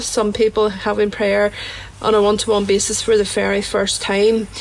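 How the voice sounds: A woman's fairly high voice with a Northern Irish accent at a fairly slow pace, over noticeable background noise.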